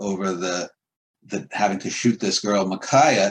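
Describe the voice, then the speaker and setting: This man speaks with a New York accent. His pitch is fairly low and his pace fairly slow. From Queens, New York City. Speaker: poet and writer. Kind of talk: casual chat.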